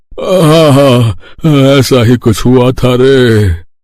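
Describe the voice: A man in a cartoonish character voice at a very slow pace. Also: medium pitch for a man, ordinary pitch variation.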